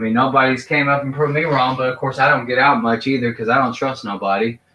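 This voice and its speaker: A man with an American accent speaks at a very fast pace. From Kentucky, US. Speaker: vlogger. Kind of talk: casual monologue. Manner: animated.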